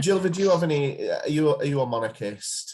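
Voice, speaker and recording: A man in an English accent with lively intonation. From England. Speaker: podcast co-host. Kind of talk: casual chat.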